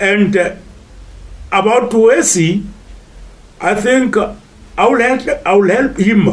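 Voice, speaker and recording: Over noticeable background noise and audible room echo, a man speaks at a very slow pace with ordinary pitch variation. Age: 70s. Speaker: retired golfer and teacher. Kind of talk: interview testimony. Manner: hesitant, many fillers.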